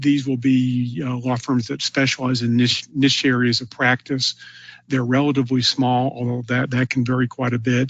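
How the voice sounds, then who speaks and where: The delivery is monotone, with flat intonation. There is noticeable background noise behind it. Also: man. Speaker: webinar presenter on e-discovery. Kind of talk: webinar presentation. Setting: online webinar. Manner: fast; many filler words (uh, um).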